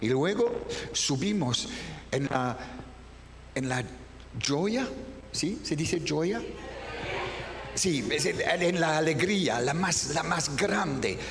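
A man with a French accent talks at a very slow pace with long, frequent pauses, high pitch and lively intonation, while noticeable background noise plays behind him. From France. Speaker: voice actor, dubbing director and teacher. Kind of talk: masterclass talk on dubbing technique. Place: hall.

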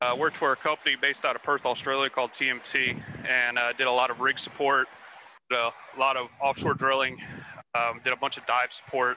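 The tone is bright and sharp, the pace fairly quick and the intonation a flat monotone, in a dry recording with no echo and light background noise. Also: man, medium pitch for a man. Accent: Texan. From Texas (Houston). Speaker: ROV pilot. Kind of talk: casual chat. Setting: video call. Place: boat. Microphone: video call.

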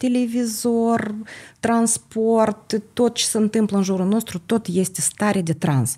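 A woman with a Moldovan accent, dark and mellow in tone, somewhat breathy, fairly high-pitched with ordinary pitch variation, at a very slow pace and very even loudness, against a quiet background. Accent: Moldovan Romanian. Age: 50s. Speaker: holistic therapist and entrepreneur; podcast guest. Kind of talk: podcast interview. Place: studio. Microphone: studio mic.

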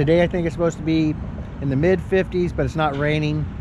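A man talks over noticeable background noise, and the sound is dry with no echo. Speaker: RV traveler vlogger. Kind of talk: casual vlog chat. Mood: relaxed, grateful. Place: street. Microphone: phone near.

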